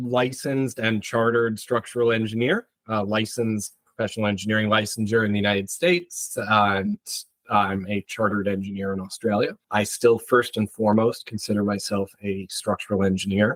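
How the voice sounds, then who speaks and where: Speaking with an American accent, a man has an unremarkable speaking voice, a fairly low pitch, fairly even intonation and a moderate pace. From US Northeast, Connecticut. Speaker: structural engineer. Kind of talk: interview.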